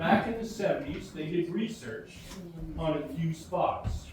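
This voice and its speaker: The recording carries audible room echo and noticeable background noise. A man talks fairly slowly. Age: 70s. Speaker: community member speaking at public meeting. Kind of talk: public meeting speech. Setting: community hall meeting with audience.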